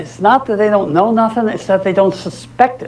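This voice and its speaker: A man talks at a moderate pace in a high pitch. Noticeable background noise and audible room echo are present. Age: 70s. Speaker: lawyer and guest lecturer. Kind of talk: lecture. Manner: animated.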